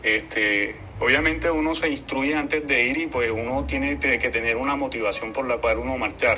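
A man talks at a moderate pace with hardly any pauses. Noticeable background noise runs under his voice. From Colombia. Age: 20s. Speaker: protest participant. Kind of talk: recorded testimony.

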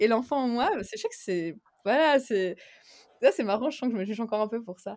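A woman is speaking. Her intonation is lively. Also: very clean recording, silent background. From Switzerland, Geneva. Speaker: entrepreneur and coach. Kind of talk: interview.

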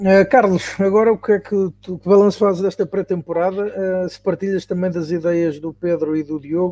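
At a moderate pace, a man speaks in a high pitch with a dark, mellow tone and fairly even intonation. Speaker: podcast moderator. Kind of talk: panel discussion. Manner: halting.

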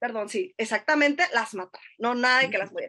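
A woman's voice is raised and projected. The tone is bright and sharp. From northern Mexico, Sonora (Navojoa). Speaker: literature researcher. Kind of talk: casual chat.

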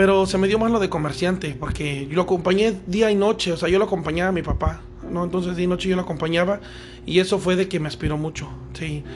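Over noticeable background noise, the speaker goes at a very fast pace with fairly even intonation. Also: man, high pitch for a man. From Veracruz, Mexico. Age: 30s. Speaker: restaurant owner. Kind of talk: casual interview. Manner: halting.

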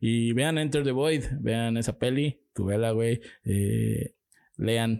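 Speaking at a very slow pace with a Mexican accent, a man has a dark, mellow tone, ordinary pitch variation and very even loudness. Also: medium pitch for a man. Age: 20s. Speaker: podcast co-host. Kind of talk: casual chat.

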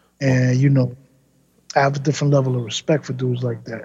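A man in a New York accent with monotone, flat intonation. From New York City, Queens. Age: 40s. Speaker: rapper. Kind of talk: casual chat.

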